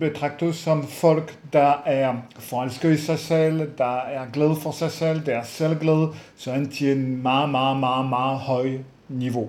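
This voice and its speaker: A man with a French accent at a very slow pace, ordinary pitch variation, noticeable background noise and audible room echo. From France. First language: French (speaking Danish). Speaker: psychologist. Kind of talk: webinar lecture. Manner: hesitant with many fillers.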